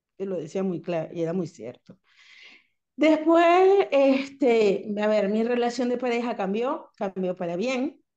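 The woman's voice is fairly high in pitch, with a dark, mellow tone. She speaks at a fairly slow pace with very wide pitch swings. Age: 40s. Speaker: breast cancer survivor. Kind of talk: casual chat.

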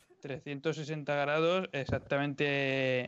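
A man at a fairly high pitch with fairly even intonation. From Spain, Orihuela (Alicante). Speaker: podcast co-host. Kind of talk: casual chat.

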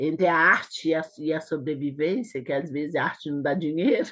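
This woman's voice has a very deep, low pitch and lively intonation. The background is quiet. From Brazil, Belo Horizonte (Minas Gerais). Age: 50s. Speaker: choreographer and dancer. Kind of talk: interview.

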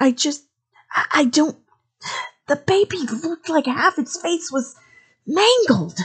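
Hissing through a high-pitched, female-sounding put-on character voice, the speaker goes at a fairly slow pace with long, frequent pauses. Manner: hissed.

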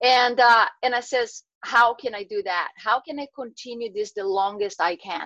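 A woman with a Portuguese accent, fairly high-pitched with a bright, sharp tone, at a moderate pace with hardly any pauses and big swings in loudness. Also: ordinary pitch variation. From Brazil. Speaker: health and wellness coach. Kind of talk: interview. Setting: video call.

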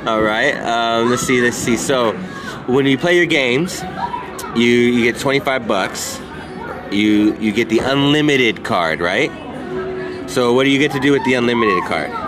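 An upbeat man at a medium pitch, with very even loudness, ordinary pitch variation, a moderate pace and long, frequent pauses, crowd noise behind him. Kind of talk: radio DJ patter: sponsor shout-outs, then a fantasy football draft talked through live. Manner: upbeat, chatty, friendly hype-man energy with filler 'um's and casual asides; rambling, thinking aloud pick by pick as he drafts.

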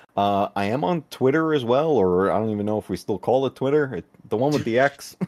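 A man speaks in a plain, everyday voice at a medium pitch, with lively intonation, a fairly quick pace, and a dry, close sound with no echo. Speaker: retro gaming YouTuber. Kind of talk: casual chat.

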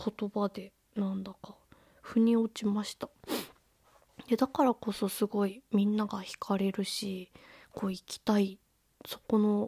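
A woman of medium pitch speaks at a fairly slow pace with long, frequent pauses, her tone relaxed, dark and mellow, somewhat breathy, her intonation monotone and flat, her loudness swinging widely, all in a dry, close sound with no echo. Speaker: podcast host, bookseller. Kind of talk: casual solo talk. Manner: relaxed, with frequent fillers.

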